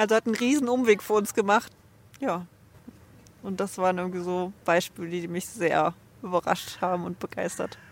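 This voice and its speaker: A woman's medium-pitched voice at a moderate pace, with ordinary pitch variation, long, frequent pauses and noticeable background noise. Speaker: traveler, interview guest. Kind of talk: interview. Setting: outdoors on a bench.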